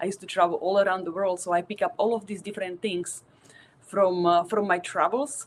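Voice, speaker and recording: A woman speaks with a Slovak accent. Her pitch is fairly low and her pace fairly quick. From Slovakia. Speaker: tattoo artist. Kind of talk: presentation.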